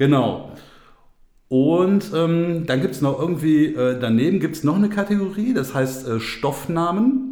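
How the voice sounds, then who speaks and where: There is audible room echo as a man talks at a fairly slow pace. His pitch is fairly high and his intonation lively. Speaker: podcast co-host. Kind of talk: casual chat. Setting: home studio.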